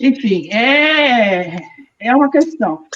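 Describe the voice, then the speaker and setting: A woman's voice with very wide pitch swings. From Rio de Janeiro, Brazil. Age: 60s. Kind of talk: personal testimony in online panel.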